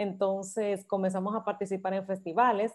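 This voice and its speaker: This woman has a medium-pitched, normal speaking voice and talks at a moderate pace. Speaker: singing teacher and choir director. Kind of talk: interview.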